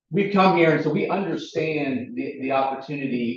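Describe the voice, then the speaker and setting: A man with an American accent and a fairly high voice speaks at a moderate pace. His intonation is lively, and room echo is audible. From US South, Chattanooga, Tennessee. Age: 40s. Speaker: recreation equipment company representative. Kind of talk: presentation at public meeting. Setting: village board meeting room with audience.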